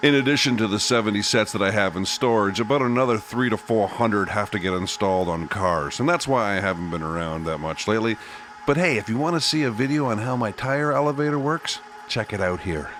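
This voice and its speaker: Amid noticeable background noise, a man with a Canadian accent speaks very fast at a fairly low pitch with lively intonation. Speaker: car restoration YouTuber, tire shop owner. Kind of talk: casual vlog narration.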